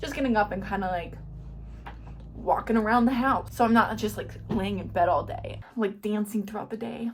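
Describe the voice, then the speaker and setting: Mumbling at a moderate pace, a woman is heard through noticeable background noise. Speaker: YouTuber, lifestyle vlogger. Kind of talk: casual vlog talk to camera. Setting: at home. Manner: animated.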